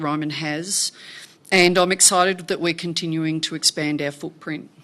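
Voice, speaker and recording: A woman speaks in an Australian accent at a fairly low pitch and a moderate pace. Her intonation is monotone and flat. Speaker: company director. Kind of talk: formal speech. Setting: annual shareholder meeting.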